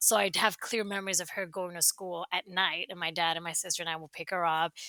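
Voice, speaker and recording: On a very clean recording with a silent background, a woman speaks fairly quickly in a fairly low, bright, sharp voice with monotone, flat intonation. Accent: Spanish. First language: Spanish. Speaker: marketing agency founder. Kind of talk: podcast interview.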